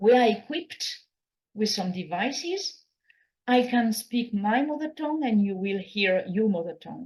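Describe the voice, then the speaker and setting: This woman has a French accent and a fairly high, somewhat breathy voice. She talks at a moderate pace with lively intonation. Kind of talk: conference keynote talk. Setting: conference hall.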